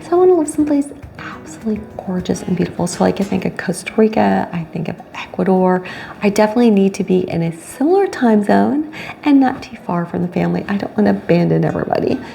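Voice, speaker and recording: A woman at a very fast pace against noticeable background noise. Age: 50s. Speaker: vlogger, cocktail waitress and retired teacher. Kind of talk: casual vlog monologue. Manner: animated.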